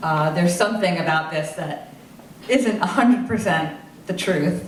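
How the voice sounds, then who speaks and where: A woman with an American accent at a moderate pace, lively in intonation, amid noticeable background noise and audible room echo. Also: fairly low pitch for a woman. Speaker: film crew member, guru's assistant. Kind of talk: Q&A panel talk.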